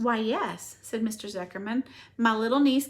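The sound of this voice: Reading done in an unforced voice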